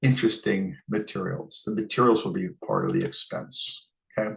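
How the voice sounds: An American-accented male voice with vocal fry and a husky, rough edge, lively intonation and a moderate pace.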